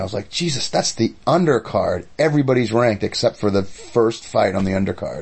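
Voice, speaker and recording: A man speaks at a medium pitch and a fairly quick pace in an animated tone. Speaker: podcast co-host; martial arts practitioner. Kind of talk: casual banter between co-hosts, radio-DJ style patter. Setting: basement studio. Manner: animated, bantering, chatty.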